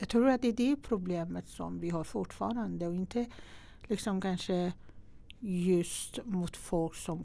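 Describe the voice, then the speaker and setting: A woman talks at a very slow pace in a Persian accent. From Iran. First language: Persian (speaking Swedish). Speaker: entrepreneur and investor. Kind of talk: interview. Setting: studio.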